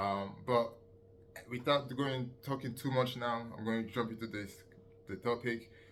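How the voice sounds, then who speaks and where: Audible room echo surrounds a man speaking at a moderate pace in a medium pitch with fairly even intonation. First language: not English. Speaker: fitness coach and youtuber. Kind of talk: casual tutorial monologue. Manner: hesitant, many fillers.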